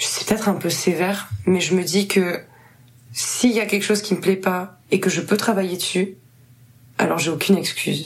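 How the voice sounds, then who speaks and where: A woman's medium-pitched voice with long, frequent pauses. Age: 20s. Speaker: musician. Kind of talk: casual chat.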